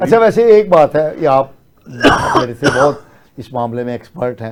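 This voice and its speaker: A man's fairly high pitch with very wide pitch swings. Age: 60s. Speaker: talk show anchor. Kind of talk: political talk show discussion.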